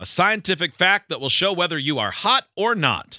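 A man speaks at a moderate pace with vocal fry and a bright, sharp tone. The sound is dry and close with no echo, in a very clean recording with a silent background. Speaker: radio host. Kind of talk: casual banter. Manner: joking.

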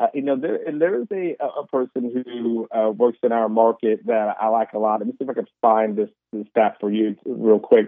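With hardly any pauses, a man talks at a moderate pace in an ordinary speaking voice, medium in pitch with ordinary pitch variation. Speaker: sports analyst. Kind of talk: sports interview.

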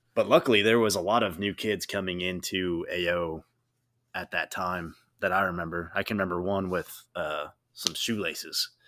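Speaking at a moderate pace, a man with a very deep, low voice sounds bright and sharp, his intonation fairly even on a very clean recording with a silent background. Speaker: podcast host. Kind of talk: casual chat.

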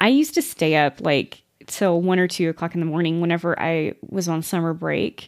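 A woman's fairly low voice at a moderate pace, very cleanly recorded against a silent background. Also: ordinary pitch variation. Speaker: podcast co-host. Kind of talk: casual chat.

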